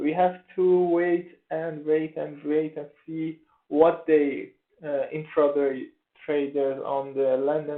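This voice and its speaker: A man with a Persian accent speaks at a very slow pace. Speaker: forex trader. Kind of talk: tutorial. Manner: halting, many fillers.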